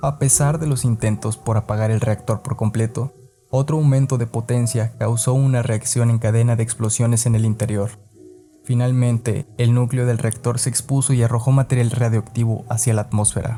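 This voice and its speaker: Music plays in the background while the voice keeps a very even loudness. The intonation is monotone and flat, and the pace is moderate. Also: man, medium pitch for a man. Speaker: podcast narrator. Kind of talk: podcast history narration.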